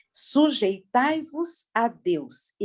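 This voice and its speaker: A woman talks in an animated tone. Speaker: preacher. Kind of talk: sermon. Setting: video call.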